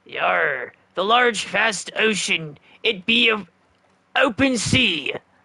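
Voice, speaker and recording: A man puts on a character voice, pitched high. He goes very slowly, with long, frequent pauses. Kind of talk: comic pirate-speak. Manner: dorky, exaggerated.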